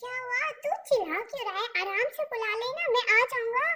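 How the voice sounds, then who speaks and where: An extremely high, squeaky put-on character voice talks at a moderate pace. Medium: read story. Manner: casual, easygoing.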